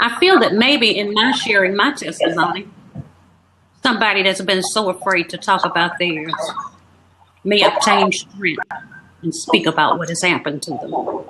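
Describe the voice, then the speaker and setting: A woman with a medium pitch speaks with long, frequent pauses. Noticeable background noise runs throughout. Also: ordinary pitch variation, moderate pace. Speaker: author and abuse survivor. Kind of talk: testimony.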